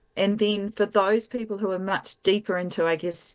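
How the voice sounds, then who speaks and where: A woman with a New Zealand accent speaks at a moderate pace. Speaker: tech company founder and CEO. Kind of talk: interview.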